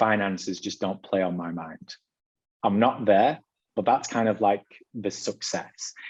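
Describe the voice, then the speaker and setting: Against a quiet background, a man with a British accent speaks at a fairly slow pace in a fairly low pitch, with ordinary pitch variation and long, frequent pauses. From Britain. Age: 30s. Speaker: author interviewed as podcast guest. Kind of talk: casual interview chat.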